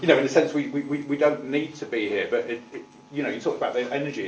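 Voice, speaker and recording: Speaking in a Manchester accent with fairly even intonation, a man is heard through audible room echo and noticeable background noise. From Manchester, northern England. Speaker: tenant management organisation representative. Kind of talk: committee meeting testimony. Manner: halting, many repetitions.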